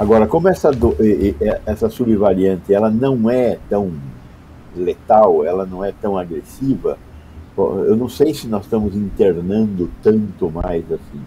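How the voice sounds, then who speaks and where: With a dark, mellow tone and a somewhat breathy quality, a man talks at a fairly slow pace in a fairly low pitch with ordinary pitch variation. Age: 70s. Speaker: public health doctor. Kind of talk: interview.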